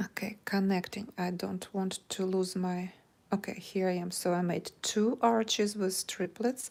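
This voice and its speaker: Speaking with a Russian accent at a fairly slow pace, a woman holds a medium pitch with fairly even intonation. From Ukraine. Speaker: crochet teacher. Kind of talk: live stream chat; tutorial. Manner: halting.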